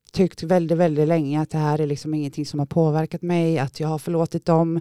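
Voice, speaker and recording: A woman's fairly low voice in a dry, close sound with no echo. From Gothenburg area, Sweden. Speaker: former drug user sharing her story. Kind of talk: testimony. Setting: studio.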